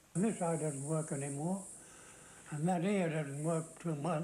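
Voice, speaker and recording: Speaking with an Australian accent, a man uses a fairly high pitch, fairly even intonation and a fairly slow pace. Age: 80s+. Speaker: war veteran. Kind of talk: interview. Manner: halting.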